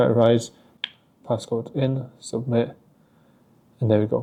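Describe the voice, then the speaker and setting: This man's voice has a dark, mellow tone at a medium pitch. He speaks with monotone, flat intonation. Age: 20s. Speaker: forex trader vlogger. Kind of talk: vlog and trading tutorial. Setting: apartment at early morning. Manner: casual, filler-heavy.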